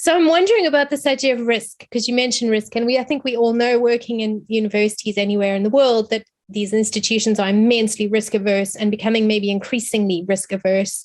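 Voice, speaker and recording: This woman talks at a very fast pace with hardly any pauses, in a South African accent. Her pitch is fairly high, with ordinary variation. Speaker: academic. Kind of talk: seminar question.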